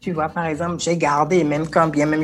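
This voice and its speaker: A woman's energetic voice at a very deep, low pitch. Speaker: motivational coach. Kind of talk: interview.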